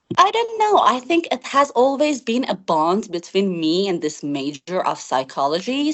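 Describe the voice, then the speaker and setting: Speaking at a fairly slow pace with a non-native accent, a woman lets her pitch swing very widely. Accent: noticeable non-native. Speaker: IELTS test candidate. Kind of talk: interview answer. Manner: comfortable pace with occasional hesitations.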